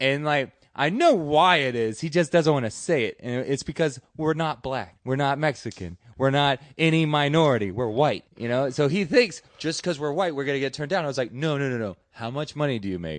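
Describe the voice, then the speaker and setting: A man's fairly high voice with an American accent, ordinary pitch variation and hardly any pauses, over a quiet background. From Deep South Texas, Rio Grande Valley. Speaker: stand-up comedian. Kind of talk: casual chat. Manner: halting, many fillers.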